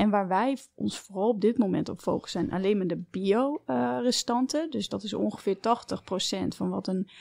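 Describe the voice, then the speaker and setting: The sound is dry and close, without any echo. A woman talks at a medium pitch. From Netherlands, family fled from Belarus. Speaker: entrepreneur, company co-founder. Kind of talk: interview conversation. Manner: hesitant, many filler sounds.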